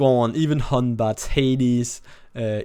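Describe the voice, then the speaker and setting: A man's voice at a medium pitch. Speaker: gaming content creator. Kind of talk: casual commentary. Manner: casual, filler-heavy.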